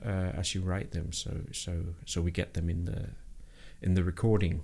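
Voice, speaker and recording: In a very clean recording with a silent background, a man with a Danish accent talks at a moderate pace. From Denmark. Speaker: programming livestreamer. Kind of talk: live coding stream chat. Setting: live stream. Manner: halting, many fillers and repetitions.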